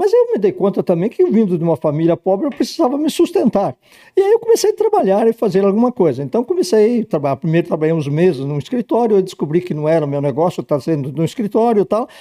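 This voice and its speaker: A man speaks very fast in a high pitch with a dark, mellow tone. His pitch swings very widely. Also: dry, close sound with no echo. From Rio Grande do Sul, Brazil. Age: 80s. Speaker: insurance broker. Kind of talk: interview.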